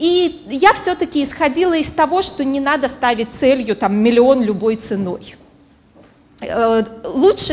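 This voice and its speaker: Against noticeable background noise, a woman with a high pitch talks at a very slow pace, her voice making very wide pitch swings. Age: 30s. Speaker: psychologist and business coach. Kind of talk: conference talk. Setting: stage with audience.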